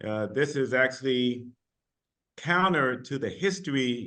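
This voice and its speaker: This man has a medium pitch and an American accent. His tone is bright and sharp. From United States. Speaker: university vice chancellor. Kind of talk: panel discussion.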